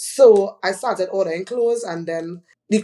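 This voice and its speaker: This woman speaks with a Trinidadian accent. Her pace is moderate. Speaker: fashion retail entrepreneur. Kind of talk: podcast interview. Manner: loud.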